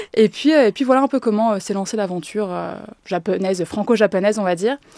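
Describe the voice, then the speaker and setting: A woman's very fast, medium-pitched speech with ordinary pitch variation, dry and close with no echo, over noticeable background noise. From France, with summers in Japan. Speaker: Japanese language teacher. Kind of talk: podcast interview. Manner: hesitant, many fillers.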